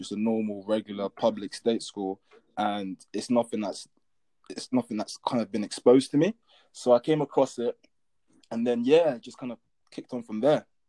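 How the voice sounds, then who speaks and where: A man in a London accent speaks at a moderate pace and medium pitch with ordinary pitch variation, a dark, mellow tone, and long, frequent pauses. His loudness swings widely, and the sound is dry and close with no echo. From London, England. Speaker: athlete. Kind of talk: interview.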